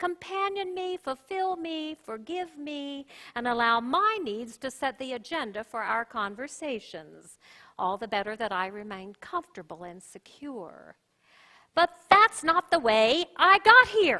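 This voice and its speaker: A woman speaks at a fairly slow pace in a high, raised, projected voice with a bright, sharp tone. Her pitch swings very widely and her loudness rises and falls a great deal. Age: 60s. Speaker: pastor. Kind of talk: sermon.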